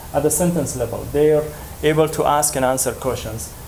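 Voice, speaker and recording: In an Afghan accent, a man speaks with a fairly high pitch and fairly even intonation, with audible room echo and noticeable background noise. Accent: Afghan (Dari) accent in English. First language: Dari. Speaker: language educator. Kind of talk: conference presentation. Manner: halting, many fillers.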